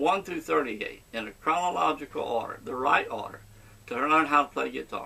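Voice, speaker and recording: This man talks at a fairly quick pace with an American accent. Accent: Cajun southern US. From Louisiana, southwest. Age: 70s. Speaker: guitar teacher. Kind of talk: tutorial. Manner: halting.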